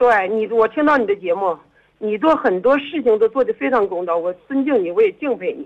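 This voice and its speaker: Speaking at a fairly quick pace, a woman with an unremarkable speaking voice uses lively intonation at a fairly high pitch. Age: 50s. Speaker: caller. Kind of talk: phone-in confession. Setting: phone call.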